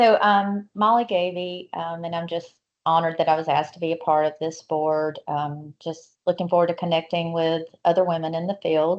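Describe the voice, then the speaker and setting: At a moderate pace, a woman speaks in a Southern US accent with a fairly low pitch and fairly even intonation. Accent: Southern US (South Georgia). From US South, South Georgia. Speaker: new board member, energy consultant. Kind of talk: self-introduction in virtual meeting.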